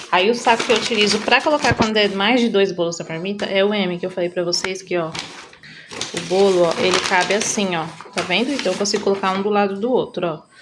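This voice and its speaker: This woman speaks at a fairly quick pace and a medium pitch, with ordinary pitch variation. Noticeable background noise runs underneath. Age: 30s. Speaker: home baker and vlogger. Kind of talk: casual vlog tutorial. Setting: home kitchen. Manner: chatty; soft-spoken.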